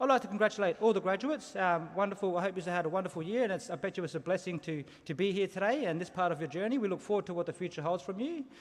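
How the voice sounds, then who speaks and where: This man talks at a very fast clip with hardly any pauses, his voice high-pitched for a man and his pitch varying in an ordinary way. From South Australia, Adelaide. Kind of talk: ceremonial welcome to country speech. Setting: stage with audience at graduation ceremony. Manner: engaging, audience interaction.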